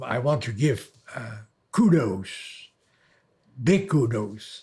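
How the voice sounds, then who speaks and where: With a Dutch accent, a man speaks at a medium pitch in a dark, mellow, somewhat breathy tone. His pace is very slow and his intonation lively. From Netherlands. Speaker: elderly man telling his life story. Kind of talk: oral history recollection. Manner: halting, with fillers.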